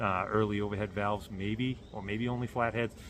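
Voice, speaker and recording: A man with a Boston accent, fairly low in pitch, bright and sharp in tone, with fairly even intonation. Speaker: car builder vlogger. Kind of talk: casual vlog announcement. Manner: halting with many fillers.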